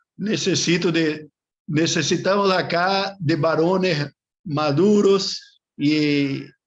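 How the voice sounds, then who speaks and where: This man has a Brazilian accent and sounds somewhat breathy. His pitch variation is ordinary. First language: Portuguese (speaking Spanish). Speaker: Bible course teacher. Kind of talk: online class lecture. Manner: halting, with fillers and repetitions.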